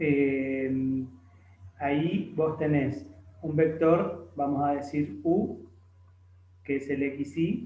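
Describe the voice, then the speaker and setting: Audible room echo surrounds a man with a fairly high pitch and ordinary pitch variation. His voice is somewhat breathy with a dark, mellow tone. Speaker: math tutor. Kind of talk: tutorial.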